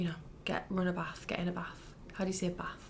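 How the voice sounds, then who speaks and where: A northern English accent amid noticeable background noise. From northern England. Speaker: ASMR creator. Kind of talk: casual chat.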